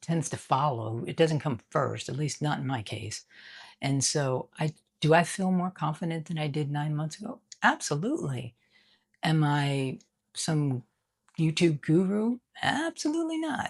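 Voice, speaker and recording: On a very clean recording with a silent background, a woman with a very deep, low, somewhat breathy voice speaks at a fairly slow pace with lively intonation. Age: 60s. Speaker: YouTuber. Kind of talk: casual talk to camera.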